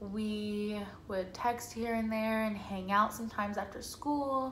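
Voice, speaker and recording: A woman with a fairly high pitch is heard with audible room echo. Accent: American. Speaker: YouTuber. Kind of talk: casual vlog storytelling. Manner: animated.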